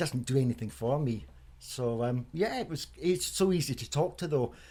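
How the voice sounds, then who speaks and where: Somewhat breathy and medium in pitch, a man talks at a fairly quick pace with ordinary pitch variation. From Scotland, Edinburgh (born in Germany). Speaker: member of the public, poem recipient. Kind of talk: radio interview. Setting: in his home.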